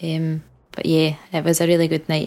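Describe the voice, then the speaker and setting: A woman with a Scottish accent speaks in a fairly low voice. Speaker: podcast co-host. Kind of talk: casual chat.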